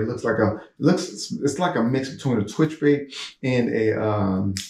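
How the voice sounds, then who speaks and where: A man holds a moderate pace with ordinary pitch variation while noticeable background noise runs beneath him. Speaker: fishing vlogger. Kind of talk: casual gear show-and-tell. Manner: animated.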